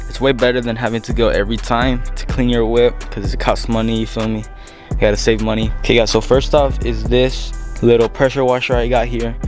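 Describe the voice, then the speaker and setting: Clear music plays in the background as a man talks at a very fast pace. The sound is dry, with no echo. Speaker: car owner vlogger. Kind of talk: casual vlog tutorial. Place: garage. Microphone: phone near.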